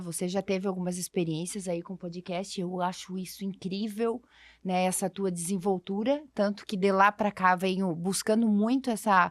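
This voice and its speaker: A woman talks at a fairly slow pace in a plain, everyday voice of medium pitch. The recording is very clean with a silent background and a dry, close sound with no echo. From Brazil, interior of a southern state. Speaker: podcast co-host. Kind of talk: casual conversation.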